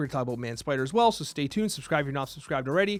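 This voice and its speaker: Music plays behind a man whose animated tone comes with lively intonation. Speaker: gaming YouTuber. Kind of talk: game review. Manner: fast.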